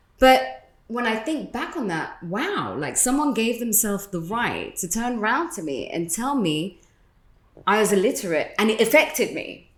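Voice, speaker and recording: A woman with a British accent, fairly high pitch, very wide pitch swings and vocal fry, at a moderate pace. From London, England. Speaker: radio host. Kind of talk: casual chat.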